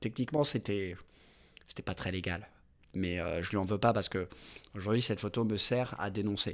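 Recorded very cleanly against a silent background, a man speaks in a fairly low pitch with fairly even intonation. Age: 20s. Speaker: injured protester. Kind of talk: testimony. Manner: halting.

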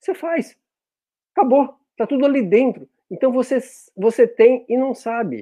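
On a very clean recording with a silent background, a man with an extremely high, dark, mellow voice talks at a moderate pace with long, frequent pauses. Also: ordinary pitch variation. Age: 50s. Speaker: spiritist speaker on online outreach. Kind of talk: casual chat. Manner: animated; halting.

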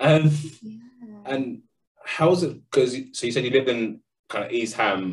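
With a London accent, a man at a medium pitch keeps a moderate pace marked by long, frequent pauses. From London, England. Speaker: podcast co-host. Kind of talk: casual chat.

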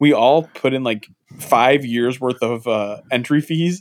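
A man talks with ordinary pitch variation. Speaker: podcast host. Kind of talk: casual banter. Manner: joking, profane.

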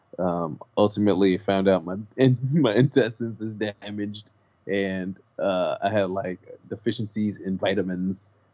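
A man with an American accent and an ordinary speaking voice, fairly low in pitch, at a fairly slow pace. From South Central Los Angeles. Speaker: rapper and comedian. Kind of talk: casual chat.

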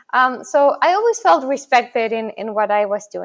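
A woman speaks at a fairly high pitch and a moderate pace. The background is quiet. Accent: Spanish. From Chile (Santiago). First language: Spanish. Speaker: crypto journalist and media founder. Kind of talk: interview. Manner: hesitant, many fillers.

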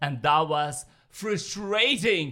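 The tone is bright and sharp. Pitch variation is ordinary. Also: man. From Armenia. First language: Armenian. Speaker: professional dancer. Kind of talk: casual chat.

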